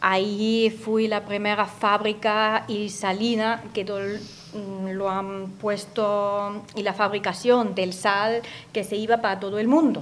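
A woman with a German accent talks at a very slow pace. Her medium-pitched voice has monotone, flat intonation. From Austria, Upper Austria (Gmunden). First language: German (speaking Spanish). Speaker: radio guest from abroad. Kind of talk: radio interview. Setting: radio studio.

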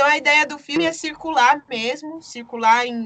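A woman speaks at a fairly slow pace in a high voice with ordinary pitch variation, over noticeable background noise. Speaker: documentary director and photographer. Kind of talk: interview.

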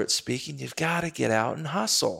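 Vocal fry with an American accent. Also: man. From Texas. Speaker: Olympic bobsledder and motivational speaker. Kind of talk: interview.

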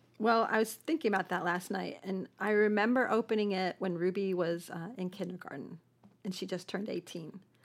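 A woman talks at a fairly quick pace with an American accent, in a plain, everyday voice. Her pitch is medium with ordinary variation, on a very clean recording with a silent background. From Buffalo, New York. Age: 50s. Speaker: antique shop owner. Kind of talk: interview.

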